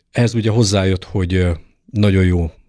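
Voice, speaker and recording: A man speaks with a very deep, low pitch and fairly even intonation. The recording is very clean and dry, close with no echo, over a silent background. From eastern Hungary, Debrecen. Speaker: fencing coach. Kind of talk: interview.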